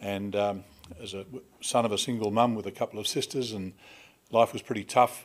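Speaking at a moderate pace, a man keeps his intonation fairly even. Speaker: conference MC. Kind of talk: introduction speech. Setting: stage with audience. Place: hall. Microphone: podium.

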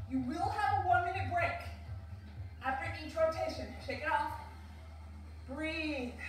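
Under audible room echo and faint music in the background, a woman talks at a fairly slow pace. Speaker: fitness instructor. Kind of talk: workout instruction. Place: home room. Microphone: camera far.

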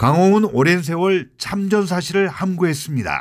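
Recorded very cleanly against a silent background, a man speaks at a fairly slow pace with high pitch and ordinary pitch variation. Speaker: former journalist. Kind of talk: news report narration.

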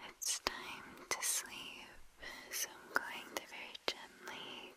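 A woman whispers, drawing her words out at a very slow pace. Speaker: relaxation video host. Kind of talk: soft-spoken guided relaxation. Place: home room. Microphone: studio mic.

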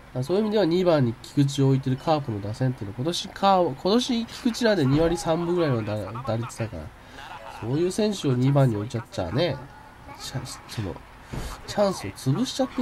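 Very fast and fairly high in pitch, a man talks with very wide pitch swings amid noticeable background noise. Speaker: game commentator. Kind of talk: casual let's-play commentary.

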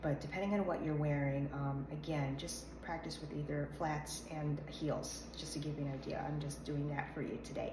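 A woman's very deep, low voice amid noticeable background noise. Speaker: modeling coach. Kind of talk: tutorial. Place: home room. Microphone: phone near.

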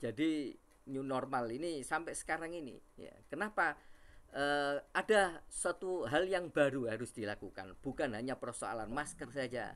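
A man talks in an ordinary speaking voice, pitched fairly high. His intonation is lively and his pace fairly slow. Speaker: university lecturer. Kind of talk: webinar presentation. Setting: video call. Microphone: video call.

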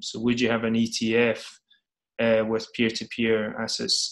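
Against a quiet background, a man speaks with a Scottish accent. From Scotland. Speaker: startup CEO. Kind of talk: interview. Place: home room. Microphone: video call.

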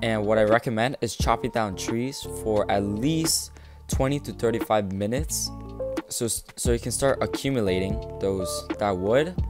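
Music plays behind a man whose voice sits fairly low in pitch. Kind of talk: gaming tutorial voiceover. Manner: slow, hesitant.

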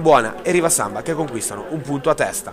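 With crowd noise in the background, a high-pitched man speaks with ordinary pitch variation. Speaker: sports commentator. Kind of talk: live-style sports commentary voiceover over match highlights. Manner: fast, rattling off play-by-play in a brisk, even, reporter-like tone.

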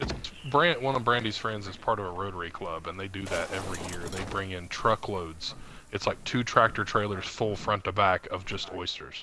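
A moderate pace and ordinary pitch variation in a North Carolina accent, over noticeable background noise. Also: man, fairly low pitch for a man. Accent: North Carolina Southern US. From North Carolina (from age 8), born in West Virginia. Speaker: podcast co-host, gamer. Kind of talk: casual chat.

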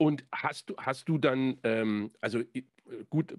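A man talks with ordinary pitch variation. The sound is dry with no echo, and the background is quiet. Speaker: podcast host and songwriter; podcast host. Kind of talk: casual chat. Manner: hesitant, many fillers. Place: home room. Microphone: studio mic.

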